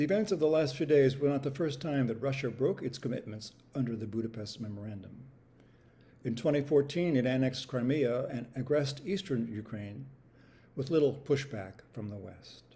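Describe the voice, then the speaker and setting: A man with a medium pitch speaks at a fairly quick pace in a somewhat breathy voice. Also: ordinary pitch variation. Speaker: host and MC. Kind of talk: spoken word reading.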